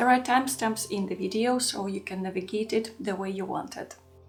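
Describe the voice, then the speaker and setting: A woman with a Russian accent, medium pitch and ordinary pitch variation at a moderate pace, with music in the background. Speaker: art journaling YouTuber. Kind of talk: scripted narration.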